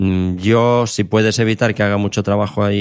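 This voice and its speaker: In a very clean recording with a silent background, a man speaks at a moderate pace. His fairly low voice keeps a monotone, flat intonation. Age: 50s. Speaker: sports science professor and coach. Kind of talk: interview.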